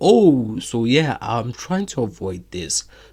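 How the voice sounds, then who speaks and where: Somewhat breathy, a man talks with a non-native accent. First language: not English. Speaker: AI chatbot developer demoing product. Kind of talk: screen-share product demo. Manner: casual, filler-heavy.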